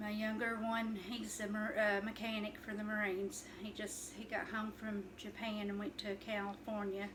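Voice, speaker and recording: A woman with an Appalachian accent at a fairly high pitch, flat and monotone, moderate in pace with hardly any pauses, with noticeable background noise and audible room echo. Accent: Appalachian Kentucky. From Eastern Kentucky, Letcher County. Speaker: cooking vlogger. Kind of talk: casual cooking video chat. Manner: halting, many fillers.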